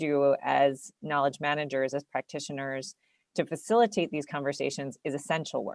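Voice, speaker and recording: A woman with an American accent and a very deep, low pitch speaks at a moderate pace with ordinary pitch variation over a quiet background. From United States. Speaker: city network representative, webinar panelist. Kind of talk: webinar presentation. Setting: online webinar. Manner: hesitant, many fillers and repetitions.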